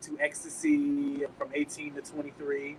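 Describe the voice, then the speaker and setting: The words come at a fairly slow pace while noticeable background noise runs beneath them. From Texas, Dallas. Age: 30s. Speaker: recovering addict, gospel singer. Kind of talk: testimony. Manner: halting, many fillers.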